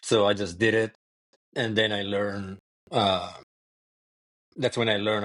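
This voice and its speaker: A man with an Italian accent speaks at a moderate pace in a fairly low pitch. His intonation is flat and monotone, and the sound is dry and close with no echo. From Italy. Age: 40s. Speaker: ultrarunner. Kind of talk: podcast interview.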